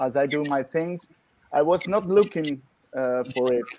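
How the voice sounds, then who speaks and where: A man with an Italian accent, fairly high in pitch, ordinary pitch variation, very slow pace. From Italy. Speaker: dentist using hypnosis. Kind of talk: panel discussion. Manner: halting.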